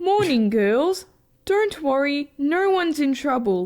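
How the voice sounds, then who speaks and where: A high-pitched, cartoonish character voice at a fairly slow pace. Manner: flat, stilted.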